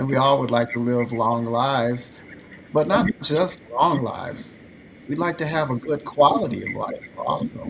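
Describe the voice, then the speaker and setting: A man speaks at a fairly slow pace with a fairly high pitch. His pitch varies in an ordinary way, with noticeable background noise. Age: 60s. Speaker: physician. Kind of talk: health talk show discussion.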